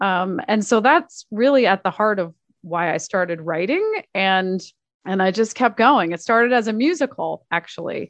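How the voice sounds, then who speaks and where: Recorded dry and close with no echo, a woman speaks at medium pitch with lively intonation. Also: moderate pace. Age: 40s. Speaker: author and performer. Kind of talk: casual chat. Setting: home office. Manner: animated.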